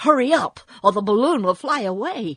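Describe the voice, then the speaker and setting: Put-on character voice from a woman, pitched fairly high, delivered at a moderate pace. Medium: read story. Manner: kindly, plain-spoken.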